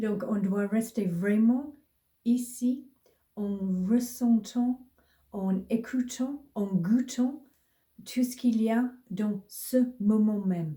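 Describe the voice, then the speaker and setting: A woman with a strong British accent speaks very slowly at a fairly high pitch, with ordinary pitch variation. Her tone is dark and mellow, and somewhat breathy. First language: English (speaking French). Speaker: mindfulness teacher. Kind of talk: casual tutorial. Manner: halting, with hesitations and repeated words.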